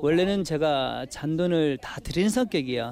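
Pitched fairly high, a man's voice carries a dark, mellow tone with ordinary pitch variation. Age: 40s. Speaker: taxi driver. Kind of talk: interview testimony.

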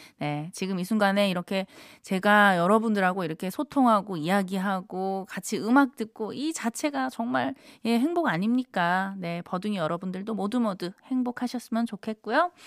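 At a moderate pace, a woman speaks at a medium pitch with lively intonation, on a very clean recording with a silent background and a dry, close sound with no echo. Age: 30s. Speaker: radio DJ. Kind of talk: live radio show hosting. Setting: radio studio. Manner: upbeat, animated.

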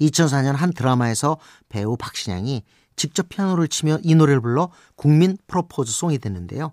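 A man with an ordinary speaking voice, lively intonation and a moderate pace, in a dry, close sound with no echo and a very clean recording over a silent background. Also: fairly high pitch for a man. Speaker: radio host and music critic. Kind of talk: scripted radio narration.

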